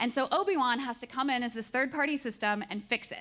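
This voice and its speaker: A woman talks at a fairly quick pace and high pitch. Her pitch variation is ordinary. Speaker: conference speaker. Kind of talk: presentation talk. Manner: fast; halting.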